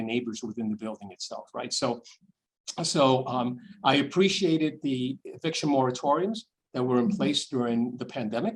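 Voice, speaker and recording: A man speaks with a New York accent at a moderate pace. His pitch variation is ordinary. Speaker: nonprofit chief executive and deacon. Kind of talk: online Q&A with donors. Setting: video call. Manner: halting with frequent repetitions.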